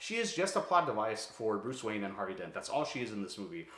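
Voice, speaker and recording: With audible room echo, a man with an American accent speaks at a very fast pace, his tone bright and sharp and his intonation lively. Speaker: YouTuber, film reviewer. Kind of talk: casual vlog monologue. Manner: casual, filler-heavy.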